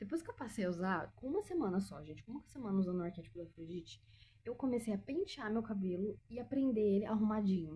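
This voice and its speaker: A woman talks at a very fast pace with a fairly high pitch and lively intonation. Her tone is dark and mellow, and somewhat breathy. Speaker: lifestyle vlogger. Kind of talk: casual chat. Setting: at home.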